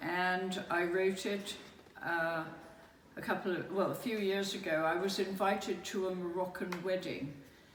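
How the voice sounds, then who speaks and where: Over noticeable background noise, a woman of medium pitch speaks fairly slowly, with fairly even intonation and very even loudness. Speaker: spoken word performer. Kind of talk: casual introduction to audience.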